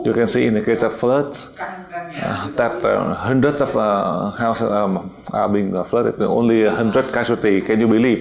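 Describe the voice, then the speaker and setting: Amid noticeable background noise and audible room echo, a man with a Vietnamese accent speaks at a medium pitch and a moderate pace with ordinary pitch variation. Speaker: spiritual teacher. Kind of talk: lecture. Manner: halting, many fillers.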